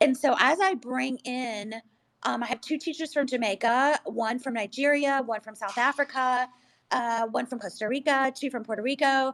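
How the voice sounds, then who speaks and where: Her high-pitched, animated delivery has ordinary pitch variation, with a woman heard in a dry, close sound with no echo. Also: moderate pace. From US, Mexican-American family. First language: Spanish. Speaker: school principal. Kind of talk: panel discussion. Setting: online audio discussion.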